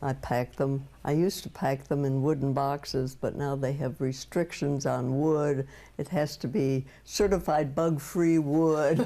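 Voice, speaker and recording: A woman's very deep, low voice with a dark, mellow tone, fairly even intonation, and a fairly slow pace. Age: 90s. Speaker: ceramic artist. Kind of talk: interview. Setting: home studio. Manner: halting, with many fillers.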